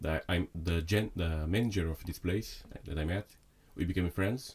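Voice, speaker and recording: Somewhat breathy, a man with a very deep, low pitch speaks at a moderate pace with ordinary pitch variation. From Brazil (Sao Paulo). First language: Portuguese. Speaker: chef. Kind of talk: casual chat. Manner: halting.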